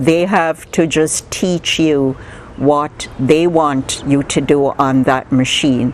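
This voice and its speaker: A woman speaks at a very slow pace with a very deep, low pitch. Her intonation stays fairly even over noticeable background noise. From Jamaica. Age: 70s. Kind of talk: life story interview answer.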